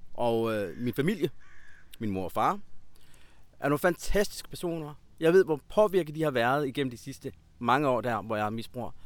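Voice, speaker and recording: Long, frequent pauses break up a man's moderate pace. His medium-pitched voice swings very widely in pitch. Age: 30s. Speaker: former addict turned healer and coach. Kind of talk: interview. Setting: outdoors in a park.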